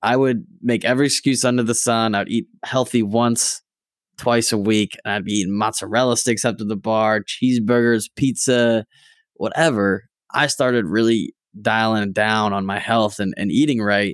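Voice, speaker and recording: In a very clean recording with a silent background and a dry, close sound with no echo, a man talks at a moderate pace in a medium pitch with fairly even intonation and an unremarkable speaking voice. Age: 20s. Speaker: digital marketer. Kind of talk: casual chat.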